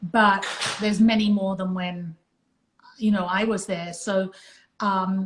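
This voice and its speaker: A somewhat breathy woman speaks at a fairly slow pace with monotone, flat intonation. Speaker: retired music industry executive. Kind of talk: casual chat.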